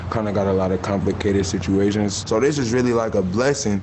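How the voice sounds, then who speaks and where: A man at a fairly quick pace and fairly low pitch, with audible room echo and noticeable background noise. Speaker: waste management worker. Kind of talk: documentary interview. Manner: loud, emotional.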